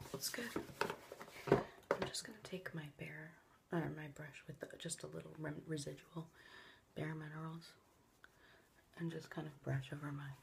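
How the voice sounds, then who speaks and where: A soft-spoken woman with a very deep, low pitch talks at a moderate pace in a fairly even intonation, with long, frequent pauses. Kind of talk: ASMR makeup tutorial. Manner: soft-spoken, quiet.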